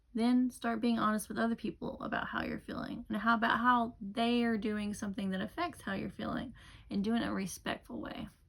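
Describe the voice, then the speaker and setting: With noticeable background noise behind them, the speaker moves at a fairly quick pace with fairly even intonation. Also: woman, fairly high pitch for a woman. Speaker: vlogger. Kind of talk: casual monologue to camera. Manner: hesitant, with fillers.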